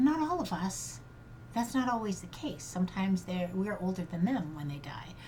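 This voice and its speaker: A woman speaks with lively intonation in a fairly low voice. Her tone is dark and mellow, and somewhat breathy. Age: 60s. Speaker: grief coach. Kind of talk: personal monologue podcast. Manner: halting.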